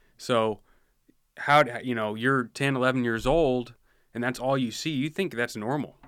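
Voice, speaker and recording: In a very clean recording with a silent background, an ordinary speaking voice with an American accent moves at a moderate pace with ordinary pitch variation. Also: man. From rural Washington State, US. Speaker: police officer. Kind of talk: casual interview. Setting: studio.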